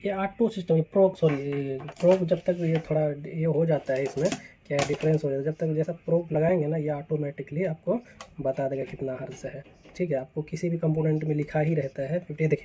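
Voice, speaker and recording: Moderate pace over noticeable background noise. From India. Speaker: electrician tutorial presenter. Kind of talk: tutorial. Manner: conversational, halting.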